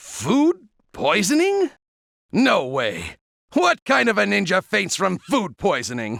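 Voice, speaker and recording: A man puts on a cartoonish character voice, high-pitched and fairly slow, with very even loudness. The sound is dry and close with no echo, on a very clean recording with a silent background. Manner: stammering, theatrical.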